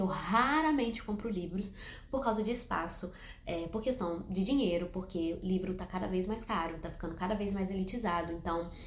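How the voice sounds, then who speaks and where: Against noticeable background noise and audible room echo, a woman speaks at a moderate pace and medium pitch with ordinary pitch variation. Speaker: book youtuber. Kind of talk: casual vlog to camera. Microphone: no microphone, improvised setup.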